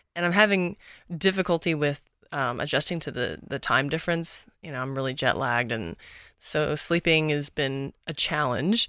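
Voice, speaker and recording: A woman with an American accent and a very deep, low pitch has a bright, sharp tone, speaking at a moderate pace with ordinary pitch variation in a very clean recording with a silent background. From Texas. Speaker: movement coach. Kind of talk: casual interview conversation.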